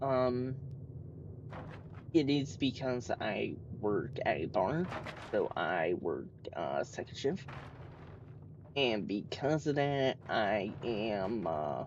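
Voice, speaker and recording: A man's medium-pitched voice with vocal fry and lively intonation, very slow pace and long, frequent pauses. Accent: American. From United States. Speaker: gaming streamer. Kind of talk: live gameplay commentary. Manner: hesitant, many fillers.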